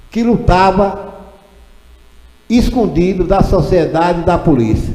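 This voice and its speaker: Very slowly, a man talks in a high pitch with lively intonation. Noticeable background noise and audible room echo surround him. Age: 70s. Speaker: retired teacher and local historian. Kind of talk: ceremony speech.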